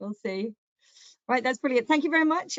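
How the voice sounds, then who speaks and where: A woman speaks with a northern English accent. Her pitch is high, with ordinary variation. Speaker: surgeon and webinar chair. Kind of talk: webinar moderation. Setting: online webinar.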